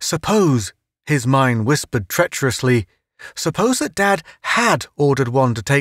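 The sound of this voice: Silence sits behind this reading. The voice reads unforced, with lively intonation.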